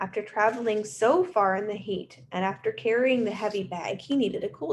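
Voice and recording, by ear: Pitch moves in an ordinary way as the speaker reads aloud in a natural voice.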